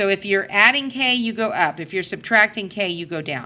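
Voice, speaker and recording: A woman's ordinary speaking voice, medium in pitch, with lively intonation and a moderate pace. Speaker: math teacher. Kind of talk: classroom lecture.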